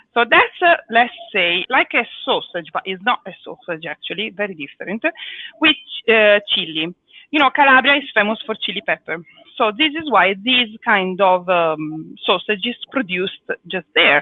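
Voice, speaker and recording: With an Italian accent, a woman speaks at a moderate pace and a fairly high pitch, her voice making very wide pitch swings. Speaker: cooking teacher. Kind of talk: live cooking lesson. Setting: live video stream.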